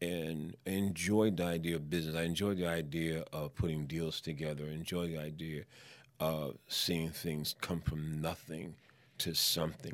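A man with an American accent speaks in a very deep, low pitch with fairly even intonation at a moderate pace. The recording is very clean, with a silent background. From New York City, Spanish Harlem. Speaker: entrepreneur and minister. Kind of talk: casual interview.

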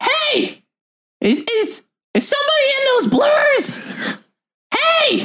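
A put-on character voice at an extremely high pitch speaks at a very slow pace, broken by long, frequent pauses.

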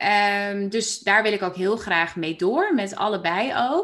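Her intonation moves in a lively way. The woman talks at a very slow pace. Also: quiet background. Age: 30s. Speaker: coach and podcast host. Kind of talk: casual interview chat.

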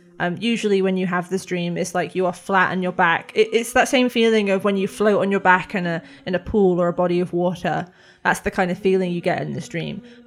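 The recording is very clean, with a silent background. A woman at medium pitch speaks with fairly even intonation in a plain, everyday voice. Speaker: game master of a tabletop role-play podcast. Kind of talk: dramatic second-person dream narration. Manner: slow, hushed and atmospheric in the dream sequence; voices several characters, including a child.

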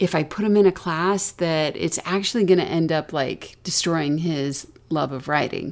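At a moderate pace, a woman with an American accent uses an ordinary speaking voice with ordinary pitch variation. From US South. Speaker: podcast co-host and parent. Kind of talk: casual conversational podcast discussion.

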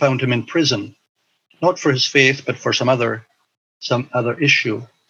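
In a Highland Scottish accent, a man speaks at a moderate pace. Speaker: missionary and teacher. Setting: video call.

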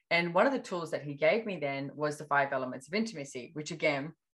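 A fairly quick pace with an Australian accent and ordinary pitch variation. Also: woman. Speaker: personal development facilitator. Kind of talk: casual chat.

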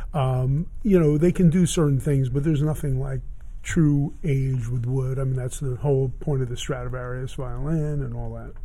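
Amid audible room echo, a man with an American accent and a medium pitch speaks at a moderate pace in a somewhat breathy voice with a dark, mellow tone and fairly even intonation. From Miami, Florida. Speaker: vintage guitar dealer. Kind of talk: casual interview. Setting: in his guitar store.

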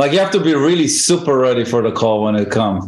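A man with an Israeli accent speaks at a fairly quick pace. His pitch swings very widely. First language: Hebrew. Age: 50s. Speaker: guitarist and music teacher. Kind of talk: casual chat.

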